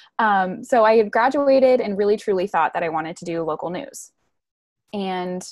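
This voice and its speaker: With an American accent, a woman speaks at a fairly quick pace in a normal speaking voice of medium pitch, with lively intonation, over a quiet background. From US Midwest, Wisconsin near Milwaukee. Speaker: marketing and PR professional. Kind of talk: interview.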